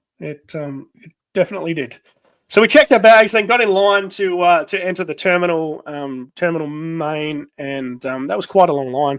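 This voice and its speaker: At a moderate pace, a man with an Australian accent speaks high-pitched, with ordinary pitch variation and big swings in loudness. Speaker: podcast host. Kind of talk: casual chat. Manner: halting, many fillers.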